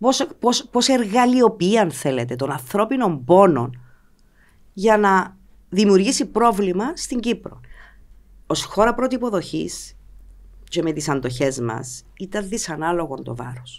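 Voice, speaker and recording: Over a quiet background, a woman speaks at a fairly slow pace with vocal fry, very wide pitch swings and long, frequent pauses. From Cyprus (Limassol); Cyprus. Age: 40s. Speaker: politician and former TV journalist; politician, former TV journalist. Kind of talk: political interview. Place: studio. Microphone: studio mic.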